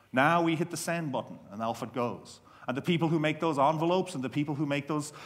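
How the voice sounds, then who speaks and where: A man's fairly high voice in an Irish accent, very fast in pace, with ordinary pitch variation against a quiet background. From Ireland. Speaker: career development expert. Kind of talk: conference keynote talk. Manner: humorous. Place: hall. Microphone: headset.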